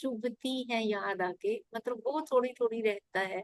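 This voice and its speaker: In an ordinary speaking voice, a woman uses a fairly high pitch and lively intonation, with a dry, close sound and no echo. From rural India. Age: 50s. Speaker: meditation class participant. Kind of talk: sharing personal meditation experience.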